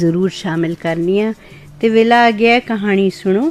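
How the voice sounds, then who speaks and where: This woman has an ordinary speaking voice, medium in pitch with fairly even intonation. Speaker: radio presenter. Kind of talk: radio show intro.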